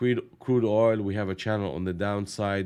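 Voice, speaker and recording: A man speaks with a very deep, low pitch at a fairly slow pace. The recording is very clean, with a silent background. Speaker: day trading live streamer. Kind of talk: live trading commentary. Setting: live stream.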